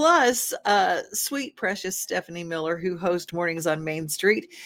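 A woman's animated tone and lively intonation at a moderate pace, on a very clean recording with a silent background. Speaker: TV show host. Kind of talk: casual chat. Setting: studio.

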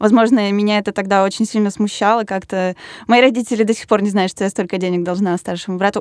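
In a very clean recording with a silent background and a dry, close sound with no echo, a woman at medium pitch talks at a very fast pace. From Russia, Yaroslavl. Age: 20s. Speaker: designer. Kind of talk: casual chat.

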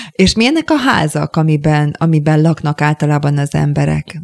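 An unremarkable speaking voice talks at a moderate pace with ordinary pitch variation. The sound is dry and close, with no echo. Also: woman. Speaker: radio host. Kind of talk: interview. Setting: studio.

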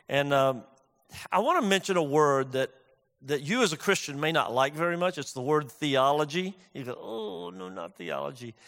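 On a very clean recording with a silent background, a plain, everyday voice moves at a moderate pace with lively intonation. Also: man. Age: 60s. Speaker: pastor. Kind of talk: sermon. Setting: church.

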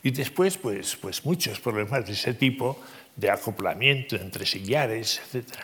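A man's normal speaking voice at medium pitch, with lively intonation and a fairly slow pace. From Navarre, Spain. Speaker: civil engineer and professor. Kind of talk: interview conversation. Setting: stage with audience.

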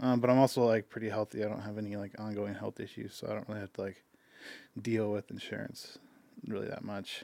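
A man with a fairly low pitch speaks at a fairly quick pace in a normal speaking voice. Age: 30s. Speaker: videographer and business owner. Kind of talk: casual chat.

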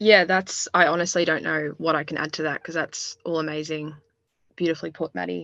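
The speaker has an Australian accent and vocal fry. The delivery is fairly quick and monotone, with flat intonation. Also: woman, very deep, low pitch for a woman, dry, close sound with no echo, quiet background. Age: 20s. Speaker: university student. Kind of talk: interview.

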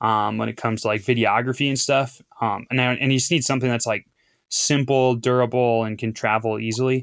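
On a very clean recording with a silent background, a man with an American accent talks fairly quickly at a medium pitch. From US Midwest, Appleton, Wisconsin. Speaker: Olympic biathlete. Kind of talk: casual interview.

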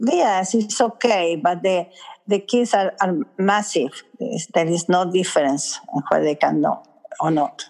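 In an Italian accent, a woman speaks at a fairly slow pace and medium pitch with ordinary pitch variation and very even loudness. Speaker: school founder and educator. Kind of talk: interview.

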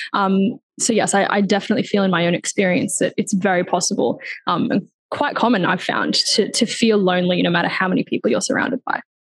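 A woman speaks at a very fast pace in a medium pitch. Her loudness stays very even. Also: ordinary pitch variation. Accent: Australian. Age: 20s. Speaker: lived experience advisor. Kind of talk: panel discussion. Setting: video call.

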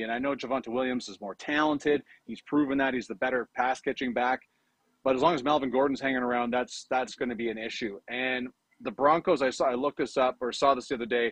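A man in a plain, everyday voice speaks with a Canadian accent at medium pitch, fairly even intonation and a fairly quick pace. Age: 50s. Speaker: fantasy sports scout and hockey broadcaster. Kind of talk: casual chat.

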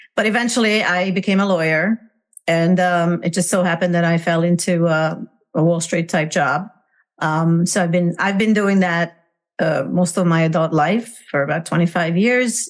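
A woman with a Hungarian accent speaks at a moderate pace in a fairly low pitch with fairly even intonation. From Hungary. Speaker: parenting coach. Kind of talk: interview. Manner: halting, many fillers.

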